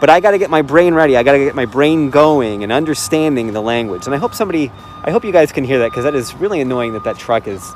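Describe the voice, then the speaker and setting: A man with an American accent at a very fast pace, medium pitch and lively intonation, over noticeable background noise. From Chicago, US Midwest. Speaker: language learner. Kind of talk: casual chat. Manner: hesitant, many fillers.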